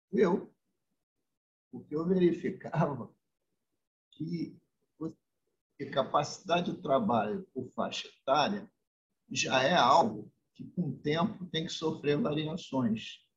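A man with a fairly high pitch and vocal fry speaks at a very slow pace, using lively intonation and long, frequent pauses. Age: 70s. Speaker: state politician. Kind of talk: interview. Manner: formal.

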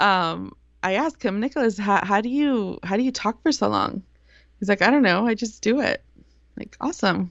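A woman's fairly high voice with vocal fry and lively intonation at a moderate pace. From US. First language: Spanish. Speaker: Spanish radio broadcaster. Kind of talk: casual chat.

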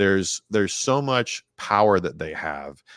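An unremarkable speaking voice with an American accent and lively intonation, dry and close with no echo on a very clean recording with a silent background. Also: man. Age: 30s. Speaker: police detective and podcaster. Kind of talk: casual chat.

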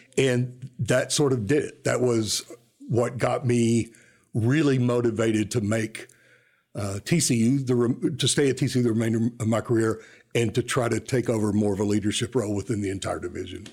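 A man speaks in a normal speaking voice at medium pitch and a moderate pace. His intonation is fairly even, and the recording is very clean with a silent background. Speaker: university enrollment administrator. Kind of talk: interview. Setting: studio.

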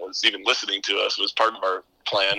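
A man with an American accent is heard in a dry, close recording with no echo and noticeable background noise. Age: 30s. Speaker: podcaster, former PA announcer. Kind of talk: casual chat. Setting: home attic, remote recording.

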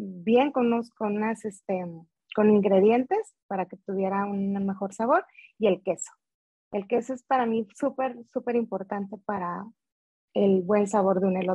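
A woman with a plain, everyday voice speaks at a fairly slow pace, with a medium pitch and fairly even intonation. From Veracruz, Mexico. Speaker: food business owner. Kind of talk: interview.

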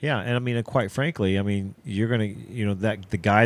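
Recorded very clean, with a silent background and a dry, close sound with no echo, a man with an unremarkable speaking voice talks at a fairly quick pace, his fairly low pitch showing ordinary variation. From Ohio. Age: 50s. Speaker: podcast host and archery shop owner. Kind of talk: casual chat.

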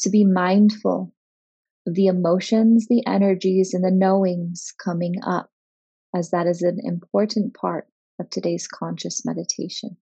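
At a fairly slow pace, a woman speaks in a soothing, calm tone at medium pitch, somewhat breathy, with fairly even intonation. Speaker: meditation guide. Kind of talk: guided meditation. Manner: slow, soothing, calm, gently paced; soft-spoken, hypnotic cadence with long pauses.

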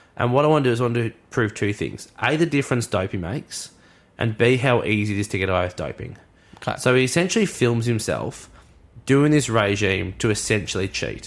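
This very clean recording of a man has a silent background. He talks with lively intonation and vocal fry in an Australian accent. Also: medium pitch for a man, fairly quick pace. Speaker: sports podcast co-host. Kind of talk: casual chat. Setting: studio. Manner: animated.

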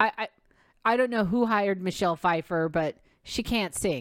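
This woman has a medium pitch with vocal fry and very wide pitch swings. The recording is very clean, with a silent background and a dry, close sound with no echo. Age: 50s. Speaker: podcast host and actor. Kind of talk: casual solo monologue.

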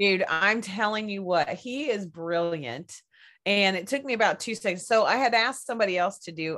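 The recording is very clean, the background silent. A woman with a Southern US accent talks at a moderate pace, her pitch swinging very widely. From Kentucky. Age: 40s. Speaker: podcaster guest. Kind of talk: casual chat.

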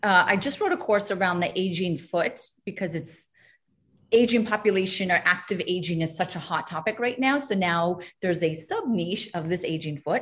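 The woman's voice is medium-pitched and somewhat breathy. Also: ordinary pitch variation, moderate pace. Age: 40s. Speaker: doctor specializing in feet. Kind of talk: webinar panel discussion. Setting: video call.

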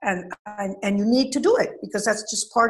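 A woman's voice at a moderate pace, with ordinary pitch variation and music in the background. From Venezuela. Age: 70s. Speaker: college counselor. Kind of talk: interview.

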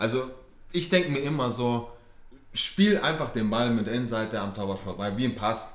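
A medium-pitched man at a moderate pace, with lively intonation, long, frequent pauses and audible room echo. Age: 20s. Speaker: amateur footballer. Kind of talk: casual chat. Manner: halting, many fillers.

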